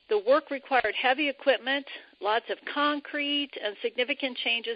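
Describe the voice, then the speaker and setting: A high-pitched woman's voice at a fairly slow pace. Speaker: retired civil engineer, biomimicry professional. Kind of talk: interview.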